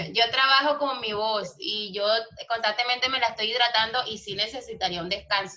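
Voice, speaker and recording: A woman with a fairly high pitch talks at a fairly quick pace. Audible room echo surrounds her voice. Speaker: Bible school teacher. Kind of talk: online lecture. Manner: animated.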